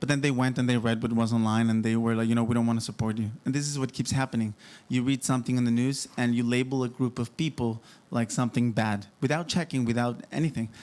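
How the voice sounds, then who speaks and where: At a very fast pace, a man speaks in a medium pitch with fairly even intonation and very even loudness. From Mexico. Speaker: former member of a group in the news. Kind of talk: podcast interview.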